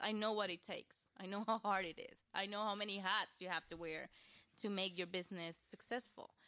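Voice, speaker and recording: A woman with a strong Costa Rican accent speaks at a moderate pace and medium pitch, her tone bright and sharp and her intonation fairly even. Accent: thick Costa Rican Spanish. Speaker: web designer and social media coach. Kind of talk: podcast interview.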